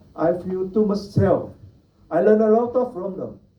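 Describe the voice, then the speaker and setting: With a Vietnamese accent, a man speaks at a fairly slow pace in a room with audible echo. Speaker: Buddhist monastic speaker. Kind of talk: panel talk.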